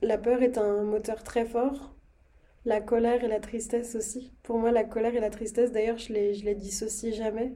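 A woman's fairly high voice in a monotone, flat intonation at a moderate pace. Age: 20s. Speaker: podcast host. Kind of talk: casual interview conversation.

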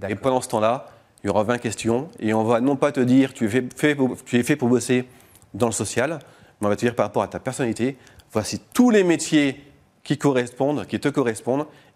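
In a very clean recording with a silent background, a man at medium pitch with ordinary pitch variation talks at a fairly quick pace in an unremarkable speaking voice. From northern France, Lille. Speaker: startup founder. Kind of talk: radio interview. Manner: casual.

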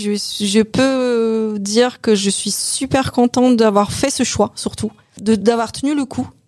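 Very slow speech from a woman, her pitch fairly high. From Poland. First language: Polish (speaking French). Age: 50s. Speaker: bank advisor, former hairdresser and store manager. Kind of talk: interview about career change. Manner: hesitant, with repetitions.

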